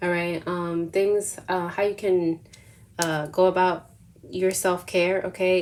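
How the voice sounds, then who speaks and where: A woman with a plain, everyday voice, fairly low in pitch with fairly even intonation, on a very clean recording with a silent background. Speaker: tarot reader. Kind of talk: tarot reading. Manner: casual, filler-heavy.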